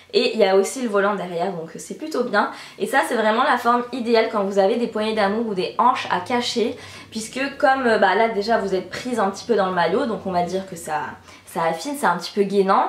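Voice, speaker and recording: There is audible room echo and noticeable background noise. A woman speaks at a fairly quick pace. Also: fairly high pitch for a woman, ordinary pitch variation. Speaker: beauty and fashion youtuber. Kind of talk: casual vlog, product review. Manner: fast; animated.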